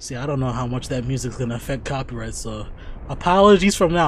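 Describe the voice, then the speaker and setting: Light background noise sits under a dry sound with no echo. A man talks at a fairly quick pace with ordinary pitch variation. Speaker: reaction streamer. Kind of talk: casual reaction commentary. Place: home room. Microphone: studio mic.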